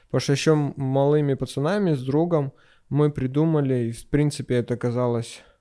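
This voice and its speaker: A man's dark, mellow tone with ordinary pitch variation at a moderate pace, against a quiet background. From Crimea, Sevastopol. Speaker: entrepreneur. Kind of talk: casual chat.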